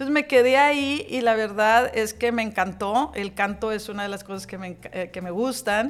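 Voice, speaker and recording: At a moderate pace and with hardly any pauses, a woman with a fairly high pitch and ordinary pitch variation speaks in a normal speaking voice, her loudness swinging widely. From Hidalgo, Nuevo León, Mexico. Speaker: business association president. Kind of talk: interview.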